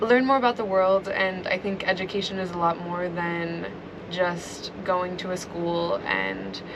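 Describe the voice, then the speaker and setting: Speaking at a fairly slow pace with an American accent, a woman keeps a medium pitch and fairly even intonation against noticeable background noise. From US Pacific Northwest, Seattle. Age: young (19). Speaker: aspiring filmmaker, traveler. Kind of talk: interview. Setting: at host's home. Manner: casual, many fillers.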